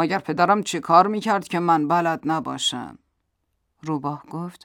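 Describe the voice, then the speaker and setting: A woman is speaking. Her pace is fairly slow. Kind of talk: storytelling narration of a children's fable. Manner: animated, playful, voicing the flattering fox and the boastful lion.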